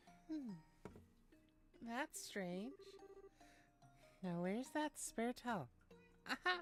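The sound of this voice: A squeaky, put-on character voice that sounds female, pitched high and swinging very widely in pitch. It moves at a very slow pace with long, frequent pauses over music in the background.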